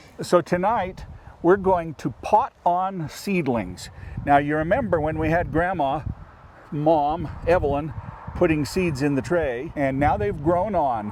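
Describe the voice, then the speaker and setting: A man with a fairly high pitch and ordinary pitch variation talks at a fairly slow pace, with noticeable background noise behind him. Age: 60s. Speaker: farmer. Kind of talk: tutorial.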